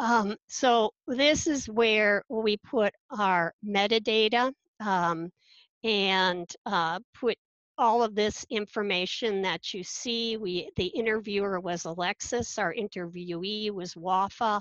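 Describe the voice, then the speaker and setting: In a quiet background with a dry sound and no echo, a woman speaks very slowly at a medium pitch. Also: ordinary pitch variation. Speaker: instructional technologist. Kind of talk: conference panel presentation. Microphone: webcam.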